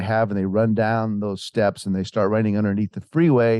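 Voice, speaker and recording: With an American accent, a man talks at a very fast pace in a fairly low voice with a dark, mellow tone and fairly even intonation, in a dry, close sound with no echo. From US Mountain West, Montana. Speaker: author. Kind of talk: interview storytelling. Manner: halting, with many fillers and restarts.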